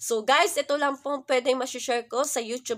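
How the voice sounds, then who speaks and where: A woman's high-pitched voice comes at a moderate pace in a very clean recording with a silent background. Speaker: vlogger. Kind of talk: religious vlog talk. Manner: halting, many fillers.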